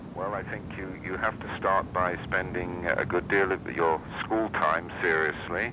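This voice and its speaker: A man with a British accent talks at a fairly slow pace in a very deep, low pitch. There is noticeable background noise. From England, London. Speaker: company president. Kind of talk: interview about his career. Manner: formal.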